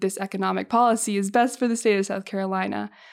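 Speaking with an American accent, a woman with an unremarkable speaking voice talks at a medium pitch with fairly even intonation, on a very clean recording with a silent background. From Massachusetts, north of Boston. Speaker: university student co-host. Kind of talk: casual interview. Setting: office.

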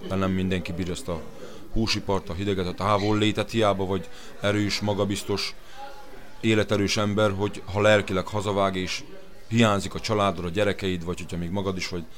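Audible room echo surrounds a man's very deep, low voice. He speaks at a fairly quick pace. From Hungary. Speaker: slaughterhouse worker. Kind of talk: interview. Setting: restaurant.

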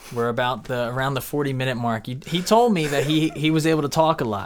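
Fairly quick speech from a man, with noticeable noise behind it. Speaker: podcast host. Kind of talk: casual interview.

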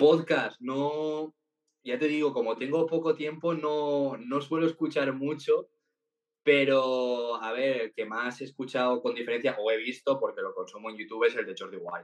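A normal speaking voice comes from a man who talks fairly high in pitch at a moderate pace, his pitch varying in an ordinary way. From Valencia, Spain. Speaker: TikTok content creator. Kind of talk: interview.

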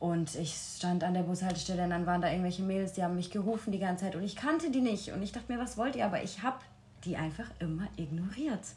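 Amid audible room echo, a woman at medium pitch talks at a very fast pace with ordinary pitch variation. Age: 20s. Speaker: retreat participant sharing bullying experience. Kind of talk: personal testimony in interview. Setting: room at a retreat in Portugal.

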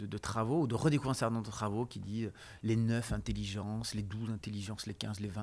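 A fairly quick-paced man at a medium pitch on a very clean recording with a silent background. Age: 40s. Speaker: sociologist and lecturer. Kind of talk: interview. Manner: halting.

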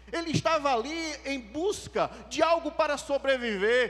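This man's voice sits at an extremely high pitch with ordinary pitch variation. His tone is animated. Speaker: preacher. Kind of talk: sermon. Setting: church. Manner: fervent.

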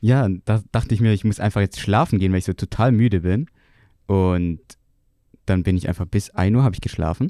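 Over a silent background, a man with a dark, mellow tone and fairly low pitch talks at a fairly quick pace, though with long, frequent pauses. His pitch varies in an ordinary way, his loudness stays very even, and the very clean recording sounds dry and close with no echo. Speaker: podcast co-host, student. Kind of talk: casual chat.

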